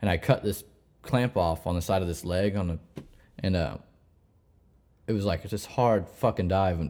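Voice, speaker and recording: Speaking with an American accent at a moderate pace, a man has a very deep, low pitch, ordinary pitch variation, a dark, mellow tone, and long, frequent pauses. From Missouri. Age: 30s. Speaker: commercial diver. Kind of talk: casual chat.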